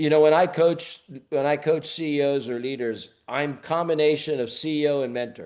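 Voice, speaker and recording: A man with an ordinary speaking voice and an American accent talks at a moderate pace with ordinary pitch variation. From US. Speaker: leadership coach. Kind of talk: webinar Q&A.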